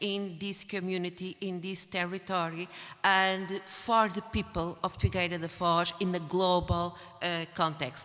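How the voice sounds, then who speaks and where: A woman speaks at a very slow pace with a medium pitch. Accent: Portuguese. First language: Portuguese. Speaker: academic researcher and conference organizer. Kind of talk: conference closing speech. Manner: halting, many fillers.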